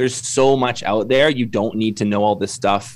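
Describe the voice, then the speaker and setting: A man with a Canadian accent talks in an unremarkable speaking voice at medium pitch, with ordinary pitch variation and a moderate pace. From Canada. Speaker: construction business consultant. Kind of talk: podcast interview.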